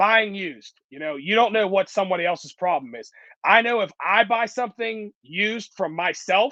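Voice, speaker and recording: Raised and projected, a man's voice comes through high-pitched with a bright, sharp, animated tone. He keeps a moderate pace and ordinary pitch variation. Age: 20s. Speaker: concrete contractor. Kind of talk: interview. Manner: casual, animated.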